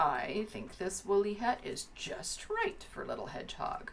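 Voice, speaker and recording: In a put-on character voice, a woman growls in a gruff way at a moderate pace, with light background noise present. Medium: read story. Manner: gruff, growly.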